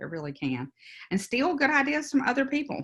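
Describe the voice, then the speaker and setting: A woman with a Louisiana accent speaks with vocal fry and very wide pitch swings. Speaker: business consultant. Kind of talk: workshop presentation.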